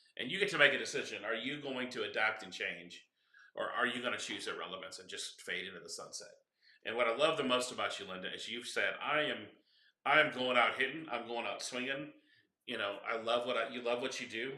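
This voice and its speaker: A man speaks at a fairly quick pace with ordinary pitch variation and big swings in loudness. Room echo can be heard. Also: medium pitch for a man. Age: 40s. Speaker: event host. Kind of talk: casual interview chat. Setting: live stream at an event.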